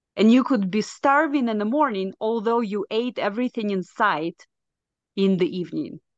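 A woman's fairly high voice with a Russian accent and lively intonation, dry and close with no echo, over a quiet background. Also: moderate pace. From Belarus. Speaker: nurse and health coach. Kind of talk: interview, personal testimony.

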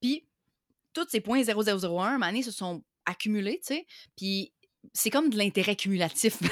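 Speaking with a Quebec accent, a woman uses lively intonation at a fairly slow pace with long, frequent pauses, the sound dry and close with no echo. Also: fairly high pitch for a woman. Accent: Québécois French. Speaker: online entrepreneur. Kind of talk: interview.

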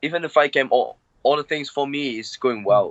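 A man talks with a Cantonese accent. His pitch variation is ordinary. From Hong Kong. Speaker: MMA fighter. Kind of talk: interview. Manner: halting.

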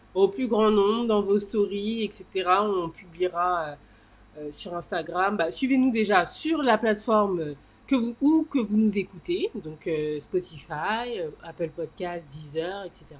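At a very slow pace, a woman with medium pitch talks with lively intonation. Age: 30s. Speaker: podcast co-host. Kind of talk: casual chat.

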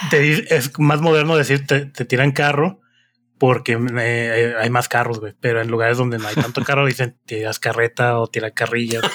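A man with a medium-pitched voice speaks at a moderate pace with fairly even intonation, recorded very cleanly against a silent background. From Morelia, Michoacán, Mexico. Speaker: podcast co-host. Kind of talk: casual chat.

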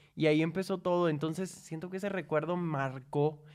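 A man with an unremarkable speaking voice, fairly high in pitch, fairly even in intonation, at a fairly quick pace. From Cuba, then Guatemala from 14. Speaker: singer. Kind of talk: casual chat.

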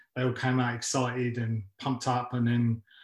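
Somewhat breathy and monotone with flat intonation, a man with a London accent speaks in a medium pitch on a very clean recording with a silent background. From West London, England. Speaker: MMA coach and gym founder. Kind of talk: interview. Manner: halting, many fillers.

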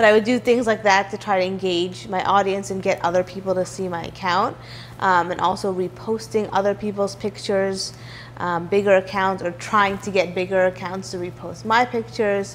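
A woman with an American accent at a medium pitch, moderate pace and ordinary pitch variation, with noticeable background noise. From New York City, Manhattan. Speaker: food blogger. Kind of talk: interview.

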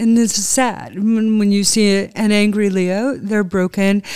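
In a normal speaking voice, a woman speaks at medium pitch with fairly even intonation, recorded very cleanly against a silent background. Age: 60s. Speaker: spiritual medium. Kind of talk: interview. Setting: in person at a table.

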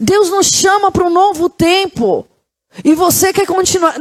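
An extremely high-pitched woman with an animated tone at a moderate pace, with music in the background. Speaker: pastor. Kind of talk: sermon.

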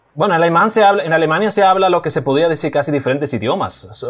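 At a very fast pace, a man speaks with lively intonation and a fairly high pitch. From Germany, raised in Cibao, Dominican Republic from age 13. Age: young. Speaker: documentary maker and video producer. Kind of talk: casual interview. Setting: remote call.

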